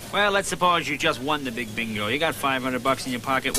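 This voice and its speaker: Against noticeable background noise, a man speaks at a very fast pace with ordinary pitch variation. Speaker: comedian. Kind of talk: interview questions. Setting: bingo hall.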